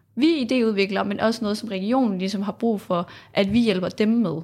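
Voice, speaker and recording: A woman speaks at a moderate pace in an unremarkable speaking voice, her pitch fairly high with ordinary variation. The recording is very clean, with a silent background. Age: 20s. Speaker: political science student, youth panel member. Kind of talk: interview. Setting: studio.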